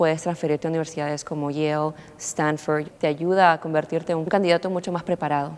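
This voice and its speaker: Very fast and monotone, a woman talks with a very deep, low pitch and flat intonation. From Peru. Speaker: international college student. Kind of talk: interview. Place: studio. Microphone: lapel.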